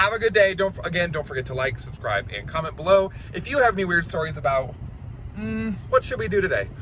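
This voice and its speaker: Very wide pitch swings mark this voice, delivered at a very fast pace. There is noticeable background noise. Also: man, high pitch for a man. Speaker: vlogger. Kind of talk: casual storytelling. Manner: loud; animated.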